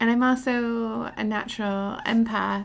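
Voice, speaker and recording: Quiet and very slow, a woman's voice sits fairly high. Her intonation stays fairly even. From military family, moved around the US. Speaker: podcast host, tattoo artist. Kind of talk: podcast monologue introduction. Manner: hesitant, many fillers.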